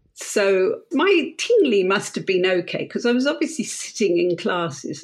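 A woman with a southern English accent speaks with lively intonation. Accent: English (southern, RP-like). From England. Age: 60s. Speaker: Chinese teacher. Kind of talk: interview.

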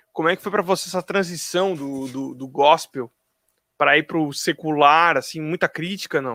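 A man speaks in a fairly high voice with a bright, sharp tone. The sound is dry and close, with no echo. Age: 30s. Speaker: drummer and drum teacher. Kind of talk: casual chat.

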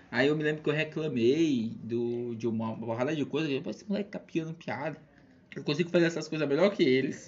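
This man talks at a fairly quick pace with a Maranhão accent. His pitch is fairly high. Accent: Maranhão Brazilian Portuguese. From Brazil, São Luís, Maranhão. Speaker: math teacher and stand-up comedian. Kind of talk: casual chat.

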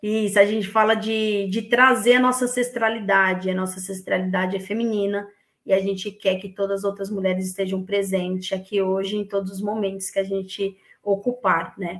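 A woman at a medium pitch and moderate pace, flat and monotone in intonation. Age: 30s. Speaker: women's football collective organizer. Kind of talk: casual interview.

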